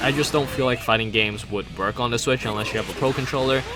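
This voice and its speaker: A man's very fast speech with music in the background. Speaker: gaming YouTuber. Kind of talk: casual video commentary. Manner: halting, stuttering.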